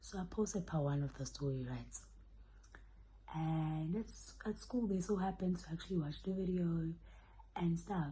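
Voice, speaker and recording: A woman does the talking, soft-spoken. Her pace is fairly quick. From South Africa. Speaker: YouTuber. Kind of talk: storytime vlog. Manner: animated.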